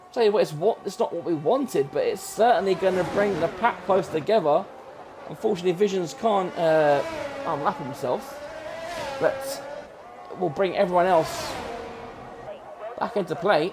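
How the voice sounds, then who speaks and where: A loud, shouting man with a British accent, high pitch and lively intonation, at a moderate pace with long, frequent pauses and music in the background. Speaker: sim racing commentator. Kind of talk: live commentary. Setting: home room with open window. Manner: animated.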